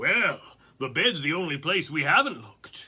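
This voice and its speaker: A man puts on a character voice at a fairly high pitch. His pitch swings very widely at a moderate pace. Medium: read story. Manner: gruff, bullying.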